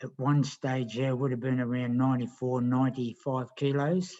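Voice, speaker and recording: This is a man with an Australian accent. His intonation stays fairly even. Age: 60s. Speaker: kart racer and health program client. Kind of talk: casual chat.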